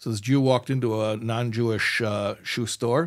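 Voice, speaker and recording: On a very clean recording with a silent background, a man with an American accent speaks in an ordinary speaking voice at a medium pitch, with ordinary pitch variation and a moderate pace. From United States. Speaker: podcast host, rabbi-style teacher. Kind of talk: casual chat.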